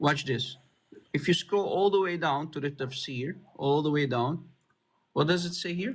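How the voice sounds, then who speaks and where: A man with an Arabic accent talks at a moderate pace. He leaves long, frequent pauses. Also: ordinary pitch variation. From Middle East. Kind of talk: heated debate. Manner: animated.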